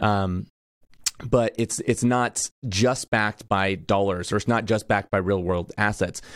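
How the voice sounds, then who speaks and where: In a plain, everyday voice, a man speaks at a fairly slow pace and a fairly low pitch, with fairly even intonation, very even loudness, and a dry, close sound with no echo. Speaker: podcast host. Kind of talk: interview, sponsor reads and intro.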